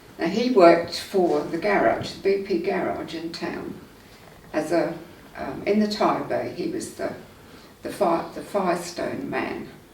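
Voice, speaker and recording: A woman speaks at a fairly slow pace in a room with audible echo and noticeable background noise. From England, Surrey. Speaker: local resident sharing memories. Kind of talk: oral history interview. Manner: casual, with hesitations.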